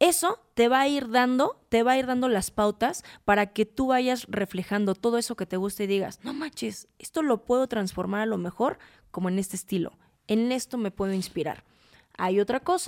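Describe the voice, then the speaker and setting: A woman with an ordinary speaking voice talks at a moderate pace and fairly high pitch with lively intonation, in a dry, close sound with no echo. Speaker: fashion stylist and image consultant. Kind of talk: casual chat.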